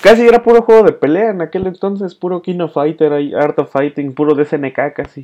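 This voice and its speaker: A man with a Mexican accent speaks in a dark, mellow tone at a high pitch. His intonation is lively. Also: moderate pace. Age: 20s. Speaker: podcast host and music show presenter. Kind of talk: casual chat.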